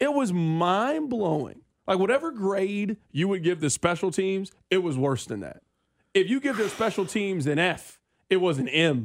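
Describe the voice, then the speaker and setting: A man speaks with a high pitch and very wide pitch swings. The recording is very clean, with a silent background. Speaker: sports radio host. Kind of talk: live sports radio, asking questions and steering segments. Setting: live radio studio. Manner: energetic, quick, conversational.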